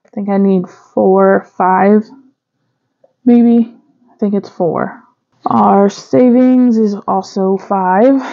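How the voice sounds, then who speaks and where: A woman speaks at a very slow pace, with long, frequent pauses and ordinary pitch variation. The background is quiet. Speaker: budgeting vlogger. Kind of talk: casual vlog chat. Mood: relaxed, light laughter. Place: home room.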